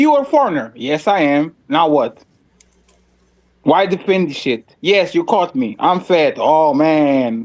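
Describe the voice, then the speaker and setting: A man with a Russian accent speaks fairly slowly at a fairly high pitch, with lively intonation and very even loudness. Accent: Russian-sounding. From Portugal. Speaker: panelist. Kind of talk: heated debate.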